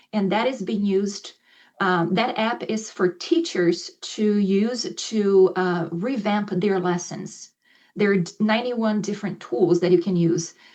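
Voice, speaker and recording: This woman has a normal speaking voice with ordinary pitch variation. Her pace is fairly slow. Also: medium pitch for a woman. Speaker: ESL professor. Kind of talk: presentation to faculty; instructional video for students.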